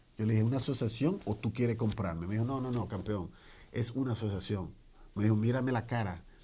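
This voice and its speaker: Somewhat breathy, a man with a medium pitch speaks at a very fast pace. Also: ordinary pitch variation. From Dominican Republic, Santo Domingo; came young to New York. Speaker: business owner, tax franchise founder. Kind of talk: interview, personal story.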